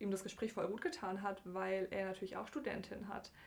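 With a medium pitch and fairly even intonation, a woman talks in an unremarkable speaking voice. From southwestern Germany, Bergstraße between Heidelberg and Frankfurt. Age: 20s. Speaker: computer scientist / programmer. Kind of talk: casual interview.

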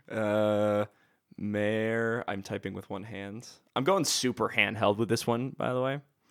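A man speaks at a fairly slow pace with a fairly low pitch. The recording is very clean, the background silent. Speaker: podcast host. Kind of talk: casual banter, movie review chat. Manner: loud, animated.

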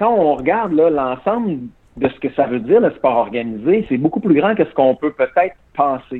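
Here a man speaks with a fairly high pitch. His pace is moderate and his pitch swings very widely. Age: 40s. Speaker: former Olympic athlete. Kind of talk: interview.

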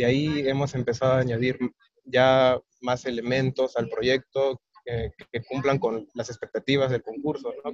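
At a fairly slow pace, a man talks somewhat breathy at medium pitch with fairly even intonation, in a dry, close sound with no echo. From Peru. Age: 20s. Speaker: agronomist engineer. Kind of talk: interview. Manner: halting, many fillers.

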